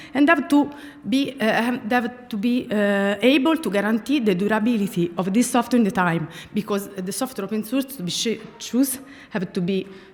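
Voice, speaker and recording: With an Italian accent and lively intonation, a woman with a fairly high voice talks at a moderate pace over noticeable background noise. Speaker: speaker at a tech conference. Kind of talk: conference talk. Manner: halting, many fillers.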